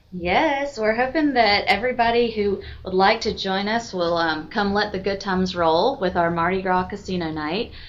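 With music in the background, a woman with an American accent speaks at a moderate pace with ordinary pitch variation. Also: medium pitch for a woman, hardly any pauses. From Georgia, US South (Milledgeville). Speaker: service league public relations officer. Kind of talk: casual interview. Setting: office.

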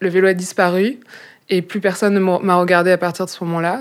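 At a fairly quick pace, a woman speaks with fairly even intonation and a fairly low pitch in a plain, everyday voice. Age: 20s. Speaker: bike workshop member. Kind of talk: casual interview.

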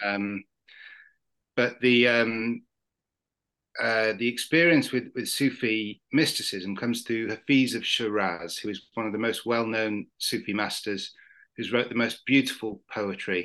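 Against a quiet background, a man with a British accent talks at a fairly slow pace and medium pitch, his bright, sharp tone carrying fairly even intonation. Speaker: novelist. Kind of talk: casual chat. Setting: video call.

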